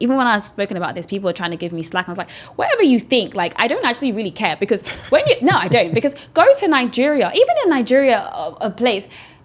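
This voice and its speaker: A woman with a British accent talks at a very fast pace with a fairly high pitch. Her pitch swings are very wide, and there is noticeable background noise. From London. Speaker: investor and ex-banker. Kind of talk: podcast interview.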